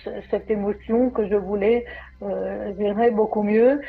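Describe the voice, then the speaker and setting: Her intonation stays fairly even as this woman speaks. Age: 60s. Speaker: program client. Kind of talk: testimony. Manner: halting.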